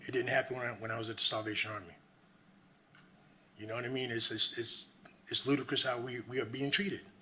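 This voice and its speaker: Very fast speech from a man at medium pitch, with ordinary pitch variation, long, frequent pauses and audible room echo. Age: 60s. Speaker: homeless resident giving public comment. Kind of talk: public comment at council meeting. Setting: city council meeting. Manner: emphatic, impassioned.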